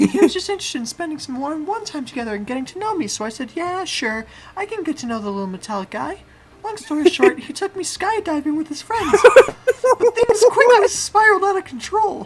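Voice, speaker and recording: A put-on, female-sounding character voice squeaks at an extremely high pitch with very wide pitch swings. The pace is fairly quick. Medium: solo performance.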